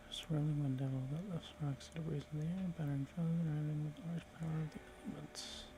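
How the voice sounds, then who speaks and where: A soft-spoken man talks at a very fast pace against noticeable background noise. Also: fairly high pitch for a man, fairly even intonation. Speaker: ASMR gaming content creator. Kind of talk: soft-spoken ASMR gameplay commentary.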